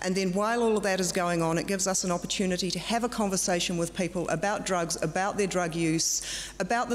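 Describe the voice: A woman speaks at a medium pitch and a fairly quick pace. Background noise is clearly audible.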